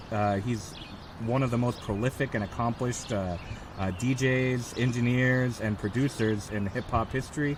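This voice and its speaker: A man's fairly slow speech, with ordinary pitch variation, comes through noticeable background noise. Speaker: librarian and archivist, interviewer. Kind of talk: oral history interview introduction. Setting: outdoors.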